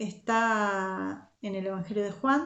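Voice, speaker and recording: A woman talks with an Argentine accent. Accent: Argentine, largely kept. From Argentina (Zárate, Buenos Aires). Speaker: youth Bible teacher. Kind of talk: Bible study talk.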